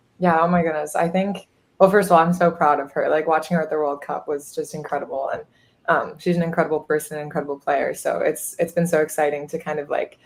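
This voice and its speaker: In a slight Minnesota accent, a woman talks very fast at a fairly low pitch, her intonation monotone and flat. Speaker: college soccer goalkeeper. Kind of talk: interview.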